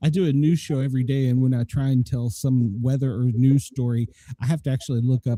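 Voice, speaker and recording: In a Southern US accent, a man talks at a very fast pace with medium pitch, ordinary pitch variation, a dark, mellow tone, a somewhat breathy quality and a dry, close sound with no echo. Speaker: podcast host, former flight medic. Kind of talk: casual chat.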